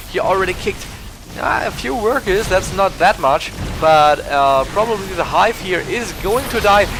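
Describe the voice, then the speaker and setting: Over music in the background, a man with a German accent talks at a moderate pace in a high-pitched voice. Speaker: esports shoutcaster. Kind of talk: live commentary. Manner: halting, many fillers and restarts; animated.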